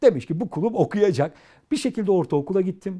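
Against a quiet background, a man speaks fairly quickly in a high pitch with a dark, mellow tone. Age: 40s. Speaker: educator and author; interview guest, educator. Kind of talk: interview. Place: studio. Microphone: lapel.

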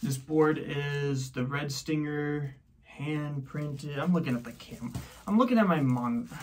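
Against light background noise, a man speaks at a fairly slow pace and a fairly high pitch, with ordinary pitch variation. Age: 30s. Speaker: skateboard unboxing vlogger. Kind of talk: casual unboxing video. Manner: casual, joking. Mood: relaxed, self-deprecating. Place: home room. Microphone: phone near.

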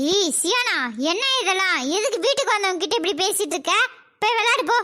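A woman does a cartoonish character voice at an extremely high pitch, with lively intonation and very even loudness. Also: moderate pace. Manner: sharp, scolding.

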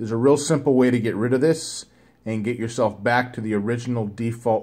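The intonation stays fairly even as a man talks. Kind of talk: tutorial. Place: home room. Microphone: phone near.

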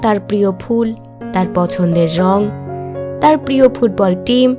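A woman's pitch rises and falls dramatically while music plays behind her. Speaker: voice-over artist. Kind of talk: emotional monologue narration.

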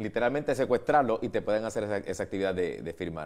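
Things are quiet in the background. A man talks, and his intonation is lively. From Puerto Rico. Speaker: TV show host. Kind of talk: TV interview. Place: studio. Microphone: lapel.

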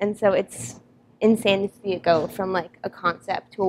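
A woman talks at a moderate pace with fairly even intonation over light background noise. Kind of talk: interview answer. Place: workshop.

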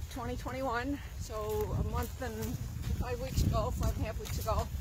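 A woman's voice comes through dry with no echo, over noticeable background noise. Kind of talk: interview answer. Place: waterside. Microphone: phone near.

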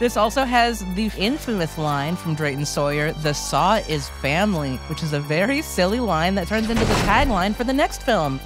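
With music in the background, a woman speaks at a moderate pace with hardly any pauses. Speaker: horror show co-host. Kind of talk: casual comedic horror movie discussion.

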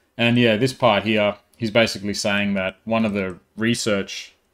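Against a quiet background, the speaker keeps a moderate pace with monotone, flat intonation. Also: man, fairly low pitch for a man. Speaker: tech tutorial maker. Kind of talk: tutorial. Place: home room.

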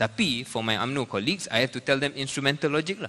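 This man speaks with a Malaysian accent at a fairly quick pace. His tone is bright and sharp. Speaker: politician. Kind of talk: panel discussion. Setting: stage with audience. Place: hall. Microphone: handheld.

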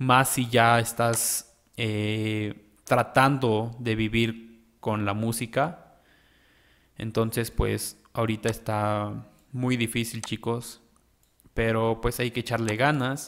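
At a very slow pace, a man speaks in a medium pitch with monotone, flat intonation, on a very clean recording with a silent background. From Mexico. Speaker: music producer. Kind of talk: tutorial. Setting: home studio. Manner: casual.

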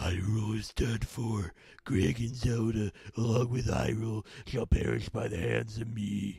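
A man uses a put-on character voice, raspy and at a medium pitch, with fairly even intonation and a moderate pace. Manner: menacing, gloating.

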